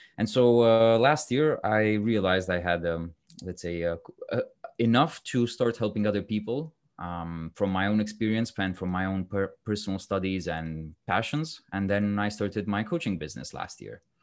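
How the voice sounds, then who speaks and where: In a Romanian accent, a man with a fairly low pitch talks with ordinary pitch variation against a quiet background. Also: moderate pace. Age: 30s. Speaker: guest, personal development coach, former lawyer. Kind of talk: casual interview chat. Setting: video call.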